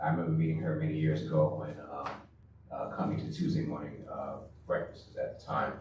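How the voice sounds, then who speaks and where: Someone with an American accent speaks at a fairly quick pace, with audible room echo and noticeable background noise. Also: man. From New York and South Carolina. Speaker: school bond campaign volunteer. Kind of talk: panel remarks at community forum. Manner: halting, many fillers.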